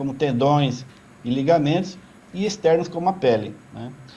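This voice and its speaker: Male speech at a moderate pace, fairly high in pitch with ordinary variation, plus audible room echo. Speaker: industry association executive. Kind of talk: interview.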